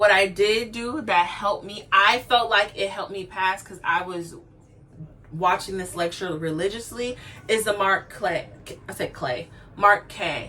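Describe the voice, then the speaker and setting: A woman speaks in a plain, everyday voice at a medium pitch. Her pace is fairly slow, with ordinary pitch variation. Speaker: nursing graduate vlogger. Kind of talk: casual vlog talk.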